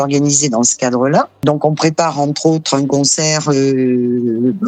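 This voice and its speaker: Over noticeable background noise, a woman speaks at a very deep, low pitch with very even loudness and hardly any pauses. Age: 60s. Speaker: association president, accountant and saxophonist. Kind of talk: interview. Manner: hesitant, many fillers.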